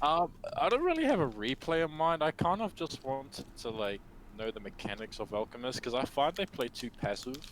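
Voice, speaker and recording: Lively intonation runs through this man's New Zealand accent. He speaks at a fairly quick pace in a fairly high pitch. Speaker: gamer being coached. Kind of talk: casual chat. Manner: hesitant, many fillers.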